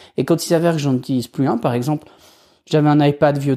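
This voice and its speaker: On a very clean recording with a silent background, a man with a fairly high, dark, mellow voice speaks with ordinary pitch variation. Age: 40s. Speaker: podcast host. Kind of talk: solo podcast talk. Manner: casual, hesitant with fillers.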